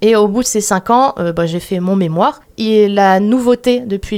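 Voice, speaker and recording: Dark and mellow, this voice belongs to a woman. Her pitch is fairly high. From Moselle, Lorraine, France. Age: 20s. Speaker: animal osteopath. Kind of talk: radio interview.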